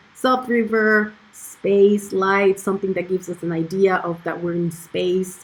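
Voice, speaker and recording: A woman with a non-native accent, speaking at a very slow pace in a monotone, flat intonation. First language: not Icelandic. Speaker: video producer demonstrating dubbing workflow. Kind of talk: screen-share tutorial. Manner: hesitant, many fillers and repetitions.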